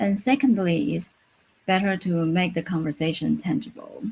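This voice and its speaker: With lively intonation and some vocal fry, a woman speaks at a moderate pace in a medium pitch. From Taiwan. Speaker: UX designer. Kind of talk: conference talk. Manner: halting, with self-corrections.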